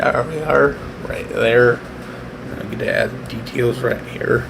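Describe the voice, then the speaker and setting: Amid noticeable background noise and audible room echo, a man speaks at a very slow pace. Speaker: artist live-streaming a speed painting. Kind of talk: casual live-stream drawing commentary. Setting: at home, live stream. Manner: halting, many fillers; soft-spoken, trying to be quiet.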